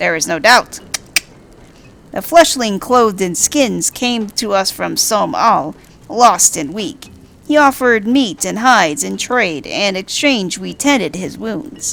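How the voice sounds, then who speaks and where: This woman uses a put-on character voice. Her pitch is medium and her pace fairly slow. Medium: game stream. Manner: archaic, stilted, repetitive phrasing.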